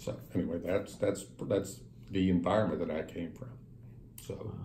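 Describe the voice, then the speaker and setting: A man with an American accent talks at a moderate pace, with ordinary pitch variation. Some room echo can be heard. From US South, western Kentucky (rural Breckinridge County). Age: 60s. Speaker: businessman. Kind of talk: interview.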